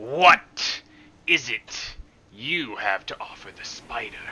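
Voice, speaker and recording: This is a put-on character voice, gruff and growling. It moves at a very slow pace. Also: man, medium pitch for a man. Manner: gruff, growling, impatient.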